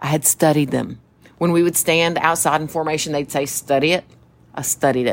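A woman talks at a fairly quick pace with a very deep, low pitch. Her tone is animated. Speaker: podcast co-host, mother and military veteran. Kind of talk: casual chat. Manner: animated storyteller.

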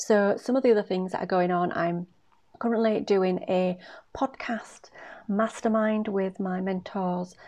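The woman's voice is breathy, with a medium pitch and a dark, mellow tone. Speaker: podcast host and career coach. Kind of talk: solo podcast monologue.

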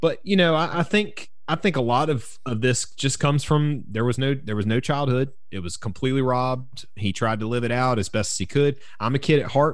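A man with a strong Southern US accent, medium-pitched, at a moderate pace with lively intonation and hardly any pauses. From US South, South Carolina. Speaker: podcast co-host, drummer. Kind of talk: casual chat. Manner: halting.

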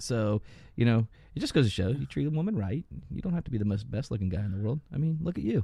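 Very fast speech with very wide pitch swings comes in a dark, mellow, somewhat breathy tone against a quiet background. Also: man, medium pitch for a man. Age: 50s. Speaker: podcast co-host. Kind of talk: casual chat.

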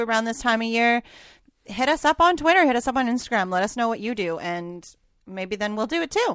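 A woman with a Canadian accent speaks at a fairly quick pace in a fairly high voice, an unremarkable speaking voice. The recording is very clean, with a silent background. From Canada, Alberta. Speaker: podcast co-host. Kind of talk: casual chat.

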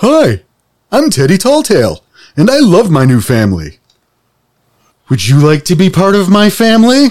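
A man's high-pitched, robotic put-on character voice with very wide pitch swings, a moderate pace and long, frequent pauses. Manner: toy-like, cheerful.

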